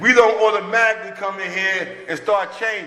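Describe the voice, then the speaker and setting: Over noticeable background noise, a man uses a raised, projected voice with a high pitch. His pace is moderate and his intonation fairly even. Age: 60s. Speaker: recovering addict sharing at a recovery meeting. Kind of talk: recovery meeting share.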